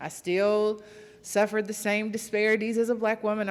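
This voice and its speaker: In a Southern US accent, a woman speaks at a fairly high pitch. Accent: Southern drawl, noticeable. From West Virginia. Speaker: audience member asking a question. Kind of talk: audience question at a public talk.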